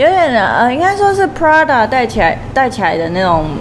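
A woman talks at a moderate pace with very wide pitch swings. Noticeable background noise and audible room echo surround her voice. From Taiwan, Taichung. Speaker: social media influencer. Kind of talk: casual chat.

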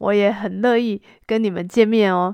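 A woman speaks at medium pitch with fairly even intonation. The background is quiet. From Taiwan. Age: 40s. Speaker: Chinese language teacher, podcast host. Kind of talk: slow-paced language-learning monologue. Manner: clear, deliberate pace for learners.

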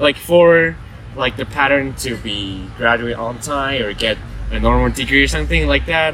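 Noticeable background noise is present. A man talks at a moderate pace. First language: not English. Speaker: student podcast co-host. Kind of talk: casual chat. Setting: outdoors on campus.

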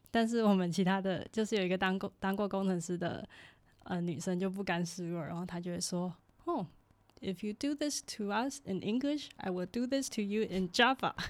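A woman talks at an even, moderate speed, her pitch in the middle range and varying in an ordinary way. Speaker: podcast co-host, student abroad. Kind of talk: casual chat.

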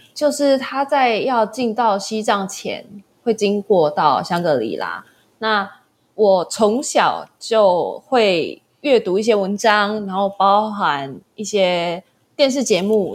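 Speech comes at a very slow pace with lively intonation on a very clean recording with a silent background. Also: woman, medium pitch for a woman. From Taiwan. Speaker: small business founder and backpacker. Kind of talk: casual interview chat.

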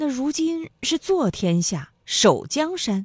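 A woman speaks in a warm, dramatic tone with very wide swings in pitch. The background is quiet. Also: dry, close sound with no echo. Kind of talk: literary audiobook reading. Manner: measured narrator, shifting into character voices; expressive, warm, slightly dramatic.

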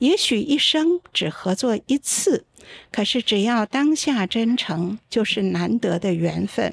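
At a very slow pace, a woman with fairly high pitch speaks with very wide pitch swings, in a very clean recording with a silent background. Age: 60s. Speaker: opera playwright and professor. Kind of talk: casual chat. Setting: live stream with studio audience.

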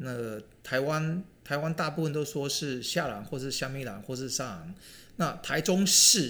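Audible room echo surrounds a man's fairly high-pitched voice. His tone is bright and sharp, with lively intonation. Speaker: podcast co-host, retired finance worker. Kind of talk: casual chat.

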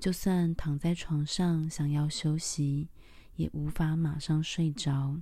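A gentle, soothing tone at a very slow pace, in a very clean recording with a silent background. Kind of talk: guided meditation. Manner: slow, soft and calming, with long pauses; gentle, soothing, even-paced.

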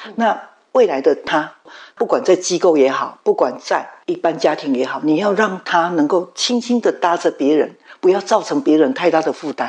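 A woman speaks at a moderate pace with lively intonation in a plain, everyday voice. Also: medium pitch for a woman. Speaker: mother of a musician with Down syndrome. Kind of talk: interview testimony.

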